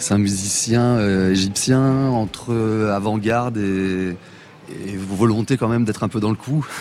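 Against noticeable background noise, a man talks in a fairly low pitch with fairly even intonation. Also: fairly slow pace. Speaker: band member. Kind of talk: interview chat.

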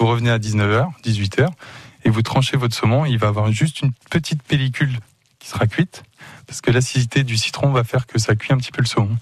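Somewhat breathy, a man speaks at a medium pitch with ordinary pitch variation, the sound dry and close with no echo. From Le Mans, France. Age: 20s. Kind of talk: radio interview. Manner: animated.

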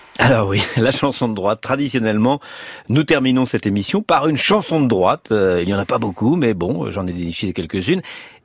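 This man has a normal speaking voice at a medium pitch. He talks at a fairly quick pace with lively intonation. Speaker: radio host. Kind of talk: radio interview.

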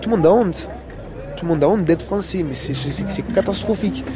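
Amid crowd noise and audible room echo, a man talks with ordinary pitch variation. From northern Marseille. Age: 20s. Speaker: shepherd. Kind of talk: casual interview. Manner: halting.

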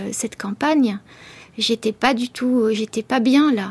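The sound is dry and close with no echo as a woman speaks very slowly in a fairly high voice with fairly even intonation. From France, Beauce region. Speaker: writer. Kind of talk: radio interview. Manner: halting, many hesitations.

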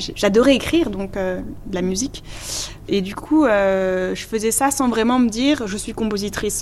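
The pitch varies in an ordinary way. Audible room echo surrounds the voice. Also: woman, fairly high pitch for a woman, moderate pace. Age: young. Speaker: composer and singer. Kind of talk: interview.

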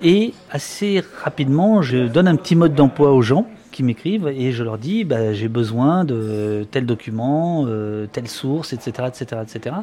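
Noticeable background noise sits under a man's voice at medium pitch. He speaks very slowly with lively intonation. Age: 50s. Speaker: journalist and author. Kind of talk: interview.

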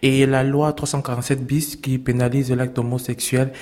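A man is speaking. Background noise is noticeable. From Cameroon. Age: 30s. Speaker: LGBT refugee and activist. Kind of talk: interview testimony.

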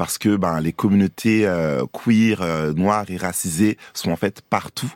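A man's very deep, low-pitched voice at a very slow pace, with ordinary pitch variation. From France and Côte d'Ivoire. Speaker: drag queen and voguing dancer. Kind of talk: radio interview. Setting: radio studio.

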